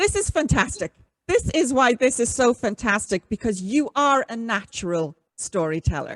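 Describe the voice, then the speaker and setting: A woman with an Irish accent speaks at a moderate pace, her fairly high voice making very wide pitch swings. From Ireland. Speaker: podcast host. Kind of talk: interview.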